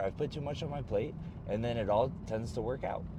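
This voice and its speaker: The voice has a dark, mellow tone with vocal fry and lively intonation, heard with audible room echo. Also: man. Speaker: pro wrestler and vlogger. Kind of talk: casual vlog talk. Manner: halting, with repeated words.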